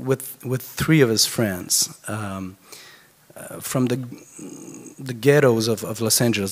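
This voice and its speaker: The intonation stays fairly even, at a fairly slow pace. Background noise is noticeable. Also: man. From France. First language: French. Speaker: concert producer and biographer. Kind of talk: eulogy speech. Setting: funeral gathering. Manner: halting.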